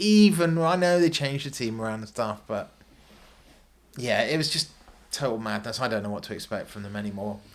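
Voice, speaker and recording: Pitch moves in an ordinary way here. The speaker is a man. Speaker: football fan, host's father. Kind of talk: casual chat. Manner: soft-spoken.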